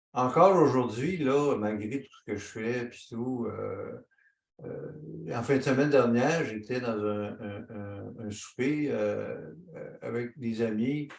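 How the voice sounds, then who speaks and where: A man's medium-pitched voice with ordinary pitch variation and big swings in loudness. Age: 60s. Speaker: author and speaker with lived experience. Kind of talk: panel discussion. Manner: casual, colloquial.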